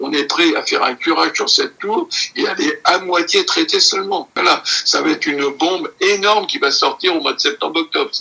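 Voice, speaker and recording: Moderate pace, with noticeable background noise. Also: man. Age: 80s+. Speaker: retired asbestos expert. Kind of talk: interview. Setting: association general meeting.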